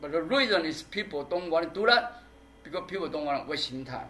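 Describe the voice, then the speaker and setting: The pace is fairly quick, with lively intonation. Noticeable background noise is present. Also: man. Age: 60s. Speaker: performance artist. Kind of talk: public talk Q&A. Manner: halting.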